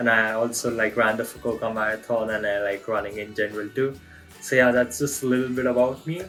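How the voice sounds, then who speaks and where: Over music in the background, a man with a non-native accent speaks at a very fast pace. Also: medium pitch for a man. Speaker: freelance photographer and videographer. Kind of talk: self-introduction job application video. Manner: upbeat, casual.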